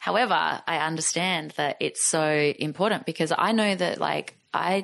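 With an Australian accent, a woman speaks at a fairly low pitch and very even loudness. Her pitch moves in an ordinary way. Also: moderate pace. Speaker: artist and musician. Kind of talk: podcast interview answer. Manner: casual. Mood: warm, reflective. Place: home room. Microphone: studio mic.

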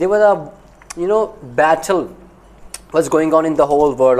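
A man speaks at a moderate pace in a fairly high pitch with ordinary pitch variation. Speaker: knife company owner reacting to documentary. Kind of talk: video reaction commentary. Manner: halting, many fillers. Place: home room. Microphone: lapel.

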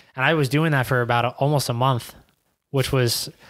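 A man at medium pitch with a New York accent and fairly even intonation, against a quiet background. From Queens, New York. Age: 20s. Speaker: professional soccer player; podcast guest. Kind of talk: casual interview. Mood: relaxed, reflective. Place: studio. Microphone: studio mic.

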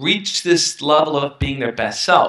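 A fairly high-pitched man with a New York accent, audible room echo and a quiet background. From Brooklyn, New York. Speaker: self-help YouTuber. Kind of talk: interview. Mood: reflective, earnest. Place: home room. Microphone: headset.

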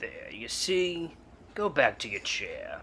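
A man at a fairly slow pace over clear background noise. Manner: soothing, coaxing, persuasive.

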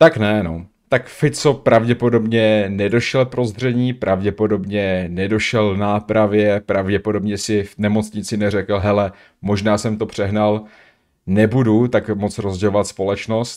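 Against a quiet background, a man talks at a very slow pace with a fairly low pitch and fairly even intonation. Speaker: streamer reacting to a video. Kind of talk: commentary. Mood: critical, indignant. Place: home room. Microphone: studio mic.

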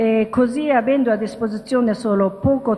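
A woman with a Japanese accent talks at a fairly slow pace and a fairly high pitch. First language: Japanese (speaking Italian). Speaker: interfaith dialogue promoter. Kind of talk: lecture. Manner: halting. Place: hall. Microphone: podium.

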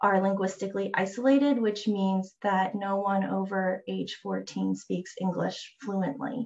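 Against a quiet background, a woman speaks at a fairly slow pace, somewhat breathy, with fairly even intonation. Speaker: landscape architect; presenter. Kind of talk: presentation. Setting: video call. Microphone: video call.

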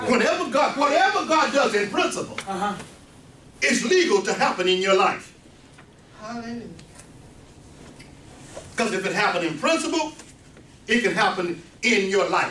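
A man uses a raised, projected voice at a moderate pace with long, frequent pauses. Audible room echo and light background noise are present. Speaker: preacher. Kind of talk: sermon. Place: meeting room. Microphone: camera far.

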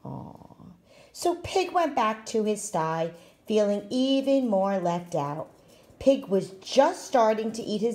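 Lively intonation throughout a plain reading aloud

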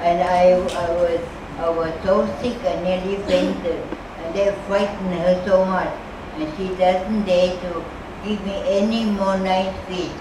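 A woman at medium pitch, with noticeable background noise and audible room echo. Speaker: charity worker caring for the needy. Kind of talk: interview answer. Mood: warm, humorous. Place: hall.

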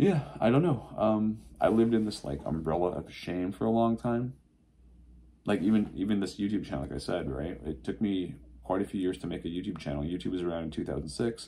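Here a man's pitch is very deep and low, with vocal fry. He speaks at a fairly quick pace with lively intonation. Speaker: vlogger. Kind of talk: casual vlog chat. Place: home room. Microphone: phone near.

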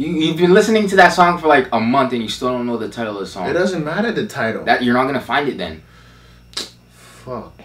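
His voice swings across a very wide pitch range. The man keeps up a fairly quick pace. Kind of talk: casual banter between friends. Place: home room.

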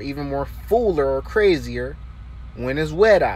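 A man's voice comes through dry, with no echo at all. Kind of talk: casual vlog tutorial. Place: car. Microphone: phone near.

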